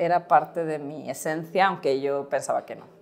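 Here we hear a woman talking. Music sounds faintly behind her. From Spain. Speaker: startup co-founder; guest. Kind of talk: interview. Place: studio. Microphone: lapel.

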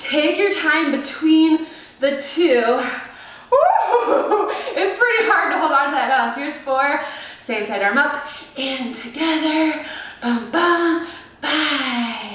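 Upbeat and playful in tone, the speaker talks at a very slow pace with lively intonation and long, frequent pauses, with audible room echo. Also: woman, high pitch for a woman. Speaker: fitness instructor. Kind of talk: live online workout class, cueing exercises. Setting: video workout, recorded at home. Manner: upbeat, encouraging, playful; rhythmic, punchy cues. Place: home room. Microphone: camera far.

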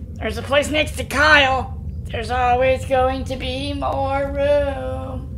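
A man speaking at a fairly slow pace, with clear background noise. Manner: dreamy, eerily calm.

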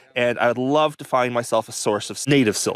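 The sound is dry with no echo. A man speaks at a moderate pace. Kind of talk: casual vlog commentary. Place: forest. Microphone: phone near.

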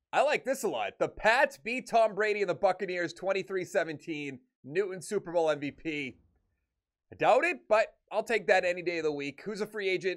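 A man speaks in a high voice at a moderate pace. His intonation is lively. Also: quiet background. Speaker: gaming YouTuber. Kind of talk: video game commentary. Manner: casual, conversational. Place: home room. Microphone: studio mic.

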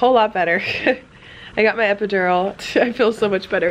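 A woman at a fairly quick pace with fairly even intonation, over light background noise. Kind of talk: casual vlog chat. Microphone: phone near.

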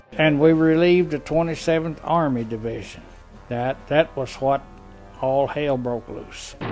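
Music plays in the background as a man talks at a fairly slow pace. His pitch is fairly high, with ordinary variation. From United States. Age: 80s+. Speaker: war veteran. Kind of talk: interview answer.

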